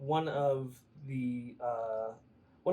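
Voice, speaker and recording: A man's fairly high voice, a normal speaking voice, with ordinary pitch variation. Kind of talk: podcast interview host. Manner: casual, playful.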